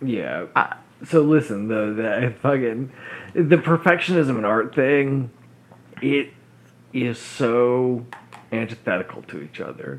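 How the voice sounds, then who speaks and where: Speaking at a very slow pace with long, frequent pauses, a man has a medium pitch and ordinary pitch variation. His loudness swings widely. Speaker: podcast co-host. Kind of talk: casual chat.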